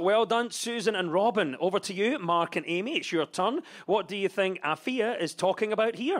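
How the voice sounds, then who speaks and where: Here a man talks in a Scottish accent at a moderate pace. His voice is high-pitched, with ordinary pitch variation. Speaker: comedy panel show host. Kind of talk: scripted topical comedy links. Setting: stage with audience.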